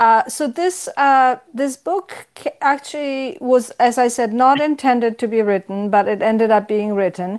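With a Polish accent, a woman speaks in a high pitch with lively intonation. Her pace is fairly slow, on a very clean recording with a silent background. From Poland. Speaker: history professor. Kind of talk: interview.

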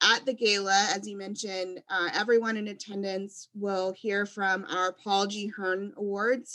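A woman's bright, sharp voice at medium pitch, with an American accent, a fairly slow pace and flat, monotone intonation. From US Gulf Coast, Louisiana. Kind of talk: interview. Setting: video call.

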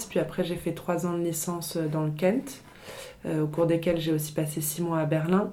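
With audible room echo around her, a woman speaks at a moderate pace and fairly low pitch. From France, Paris. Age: 20s. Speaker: fashion designer. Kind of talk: interview. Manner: hesitant, many fillers.

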